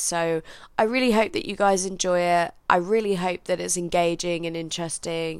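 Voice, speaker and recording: A woman with a London accent speaks at a moderate pace in a fairly low voice. Her pitch varies in an ordinary way, and the recording is very clean with a silent background. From England, London. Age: 20s. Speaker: podcaster. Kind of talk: casual solo monologue.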